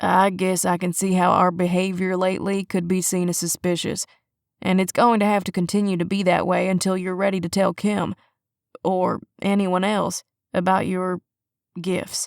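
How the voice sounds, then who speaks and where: A woman's put-on character voice, gruff and monotone with flat intonation, at a medium pitch and moderate pace. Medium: read story. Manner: deadpan, gruff.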